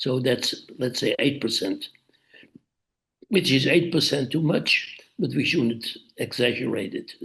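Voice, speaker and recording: Talking fairly slowly, a man speaks with a Dutch accent. He pauses long and often. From Netherlands. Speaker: author. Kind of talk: interview. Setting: video call.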